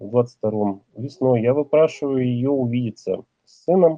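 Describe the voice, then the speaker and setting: This is a normal speaking voice from a man with a medium pitch. He talks fairly slowly with ordinary pitch variation. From Russia, Ural region. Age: 40s. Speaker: man telling his personal story. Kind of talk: personal testimony.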